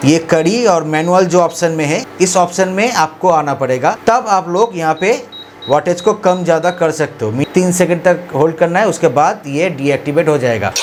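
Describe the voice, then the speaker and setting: Amid noticeable background noise, the speaker keeps a moderate pace. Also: man, high pitch for a man, ordinary pitch variation, hardly any pauses. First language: Bengali (speaking Hindi). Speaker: product review YouTuber. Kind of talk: product review tutorial.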